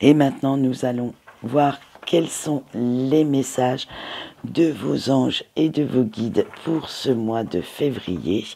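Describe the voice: A man's medium-pitched voice at a slow pace, dark and mellow in tone, with a slightly husky edge and vocal fry. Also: ordinary pitch variation.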